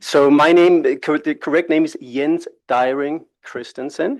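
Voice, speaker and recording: A man with a Danish accent speaks at a moderate pace with fairly even intonation. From Denmark. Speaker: international labour organisation expert. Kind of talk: presentation at a workshop. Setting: conference room with live audience. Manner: conversational, with filler hesitations.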